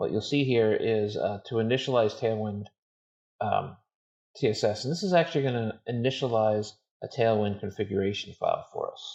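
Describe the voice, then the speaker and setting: Mumbled speech at a moderate pace, with ordinary pitch variation and a quiet background. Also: man, medium pitch for a man. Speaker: software developer and online course author. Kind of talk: live coding stream tutorial. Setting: home office live stream. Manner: mumbling; trying to speak louder.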